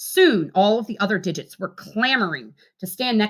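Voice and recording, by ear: The pitch moves up and down in an ordinary way. The text is read aloud in a natural voice.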